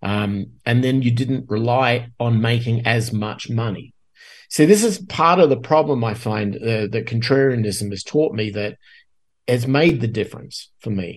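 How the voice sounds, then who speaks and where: A somewhat breathy man's voice at a medium pitch, with ordinary pitch variation and a fairly slow pace. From Australia. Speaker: guest podcaster and musician. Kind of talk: casual interview.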